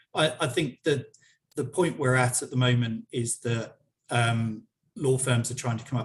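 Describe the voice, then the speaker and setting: With a somewhat breathy voice, a man talks at a moderate pace. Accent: British. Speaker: software company director. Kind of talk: webinar interview. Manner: halting, many repetitions.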